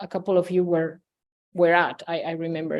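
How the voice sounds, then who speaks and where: In a Spanish accent, a woman speaks at a fairly quick pace. The background is quiet. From Spain. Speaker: game researcher. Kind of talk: academic talk. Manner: hesitant, many fillers.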